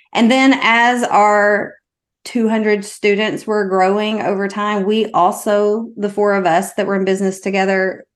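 Speaking with a Southern US accent, a woman keeps a medium pitch and a fairly slow pace in a monotone, flat intonation. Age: 40s. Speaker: mindset coach. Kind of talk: casual chat.

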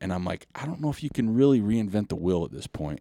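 Recorded very cleanly against a silent background, a man with an unremarkable speaking voice speaks at a fairly low pitch and a fairly quick pace with lively intonation. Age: 50s. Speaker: trail running podcast host. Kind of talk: casual interview.

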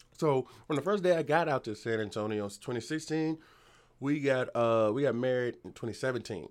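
Speaking at a fairly quick pace, a man with a medium pitch uses lively intonation and big swings in loudness. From Virginia Beach, Virginia. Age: 30s. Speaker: comedian. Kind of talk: casual chat.

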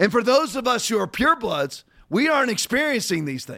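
A man with vocal fry speaks at a fairly quick pace in an extremely high pitch, his fairly bright tone marked by big pitch swings.

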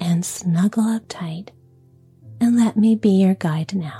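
A soft-spoken woman talks at a very slow pace with ordinary pitch variation. Music plays in the background. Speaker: bedtime story podcast host. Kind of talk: bedtime story narration with relaxation guidance.

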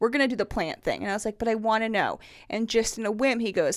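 On a very clean recording with a silent background, a woman with an unremarkable speaking voice talks fairly quickly in a fairly high pitch. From northern US. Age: 30s. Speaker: guest, mother of two. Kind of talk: casual chat.

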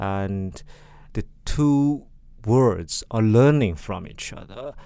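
A dark, mellow tone with a Chinese accent comes through in a very clean recording with a silent background. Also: man. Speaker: artist and art curator. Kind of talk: interview. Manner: hesitant.

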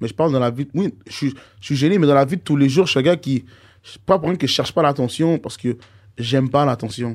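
Over a silent background in a very clean recording, a man with a fairly high pitch and ordinary pitch variation talks very fast, broken by long, frequent pauses. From Montreal, Saint-Michel. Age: 20s. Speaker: rapper. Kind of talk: casual chat.

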